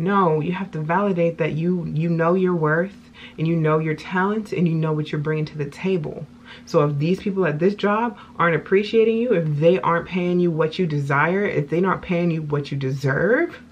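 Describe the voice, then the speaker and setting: A woman with a fairly low pitch, ordinary pitch variation and a moderate pace, a normal speaking voice. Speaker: self-help video blogger. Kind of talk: casual talk to camera, self-help monologue.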